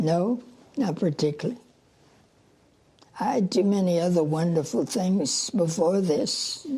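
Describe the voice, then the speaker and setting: A woman with an American accent speaks at a fairly slow pace and fairly low pitch, somewhat breathy, with a dark, mellow tone and ordinary pitch variation. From Louisiana. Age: 80s+. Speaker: centenarian runner. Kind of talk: casual interview.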